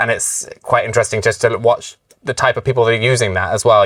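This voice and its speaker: The delivery moves at a fairly quick pace. It carries a British accent. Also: man. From UK. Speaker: webinar moderator. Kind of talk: webinar Q&A discussion.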